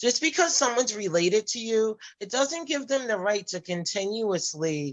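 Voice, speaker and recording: A woman with an ordinary speaking voice at a moderate pace. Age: 40s. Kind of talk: personal testimony in group discussion.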